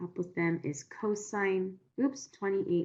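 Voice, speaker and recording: Her pitch fairly low and its variation ordinary, a woman speaks in a plain, everyday voice. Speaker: math tutor. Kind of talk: online tutoring session.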